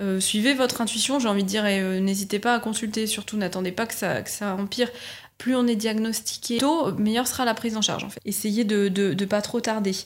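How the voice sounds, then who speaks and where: In a very clean recording with a silent background, a woman with a normal speaking voice talks fairly quickly at a fairly high pitch with fairly even intonation. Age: 30s. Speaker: patient sharing her illness. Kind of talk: testimony.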